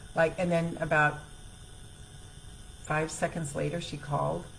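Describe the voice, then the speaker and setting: A woman speaking at a fairly slow pace, with audible room echo. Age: 60s. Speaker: self-help coach. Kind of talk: live stream talk. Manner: casual.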